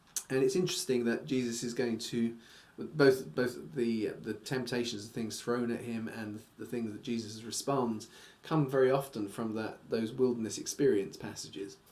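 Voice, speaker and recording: A man speaks at a moderate pace with ordinary pitch variation. His loudness swings widely, and room echo is audible. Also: medium pitch for a man. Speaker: Bible teacher. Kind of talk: bible study lecture. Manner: halting, many fillers.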